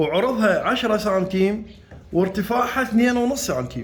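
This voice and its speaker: With an Iraqi accent, a man speaks at a high pitch with lively intonation, and the room echo is audible. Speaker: carpenter and how-to video maker. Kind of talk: tutorial. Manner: halting, with repeated restarts.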